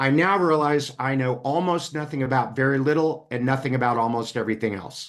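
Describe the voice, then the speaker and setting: A man's medium-pitched, ordinary speaking voice at a fairly quick pace, with ordinary pitch variation and hardly any pauses. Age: 60s. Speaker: business coach and speaker. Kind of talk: interview conversation. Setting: podcast.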